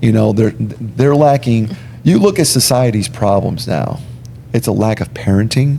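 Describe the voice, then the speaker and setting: A man talks at a moderate pace in a medium pitch. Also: ordinary pitch variation. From Long Island, New York (born Puerto Rico). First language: Spanish. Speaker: airline pilot and former state trooper. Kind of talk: casual podcast interview. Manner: animated, emphatic.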